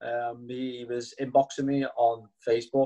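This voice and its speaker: With music in the background, a man in a Liverpool accent speaks at a medium pitch, flat and monotone. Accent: Liverpool (Scouse). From Liverpool, England. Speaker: network marketing distributor. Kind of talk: testimony.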